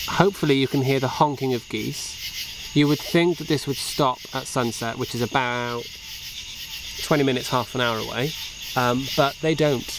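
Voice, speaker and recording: The voice moves at a moderate pace with a dry sound with no echo, against noticeable background noise. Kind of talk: casual vlog chat. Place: waterside. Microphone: phone near.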